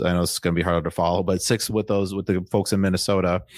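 In an American accent, a man speaks with a very deep, low pitch. His intonation is monotone and flat. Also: very clean recording, silent background. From Wisconsin (Waukesha, near Milwaukee). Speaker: real estate fund founder. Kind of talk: interview.

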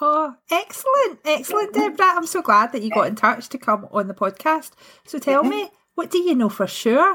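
Raised and projected, a woman's high, bright, sharp voice ranges through very wide pitch swings. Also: fairly quick pace. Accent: Scottish. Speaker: podcast host. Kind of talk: interview conversation.

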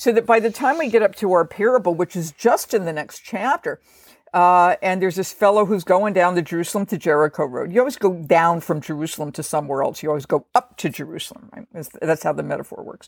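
Her pitch fairly low, a woman talks at a very fast pace with hardly any pauses, lively intonation and big swings in loudness, in a dry, close sound with no echo. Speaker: professor of biblical studies. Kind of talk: scholarly explanation in a podcast interview.

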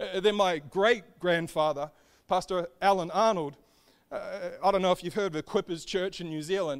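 Speaking at a fairly quick pace with an Australian accent, a man has a high pitch and fairly even intonation on a very clean recording with a silent background. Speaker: preacher. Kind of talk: sermon.

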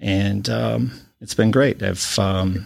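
A man speaks with an Upper Midwest accent at a fairly low pitch. The recording is very clean, with a silent background. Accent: Upper Midwest American. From Wisconsin (Watertown). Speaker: high school band director. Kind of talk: casual interview.

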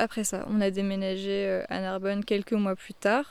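The recording is very clean, with a silent background. The speech is fairly slow and monotone, with flat intonation. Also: woman. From France, Paris. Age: 20s. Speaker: psychologist turned eco-farmer. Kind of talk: personal testimony interview. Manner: hesitant with filler sounds.

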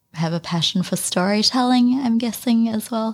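Someone with a New Zealand accent speaks with ordinary pitch variation. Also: woman, very clean recording, silent background. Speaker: podcast host. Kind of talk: casual interview chat.

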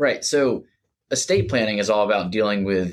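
An ordinary speaking voice: a man with a fairly low pitch and an American accent, at a moderate pace, on a very clean recording with a silent background. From Jacksonville, Florida. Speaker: estate planning attorney. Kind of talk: interview.

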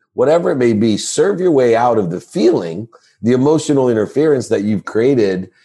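A man with a plain, everyday voice and an American accent, medium pitch, lively intonation and a fairly quick pace. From Ohio, US. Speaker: sports marketing executive and speaker. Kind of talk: interview.

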